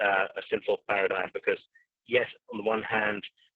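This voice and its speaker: A man in an English accent, at a moderate pace. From England. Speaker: finance and theology expert. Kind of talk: webinar panel discussion.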